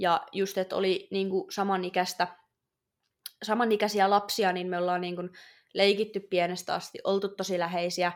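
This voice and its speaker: In a very clean recording with a silent background, a woman at medium pitch speaks in a flat monotone at a moderate pace. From Finland, Oulu. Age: 20s. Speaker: podcast host. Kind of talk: personal testimony. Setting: studio.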